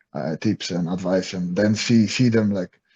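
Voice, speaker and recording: A man with a Polish accent and a fairly low pitch. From Poland, small town. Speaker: MMA fighter and coach. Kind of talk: interview. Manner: halting, many fillers and repetitions.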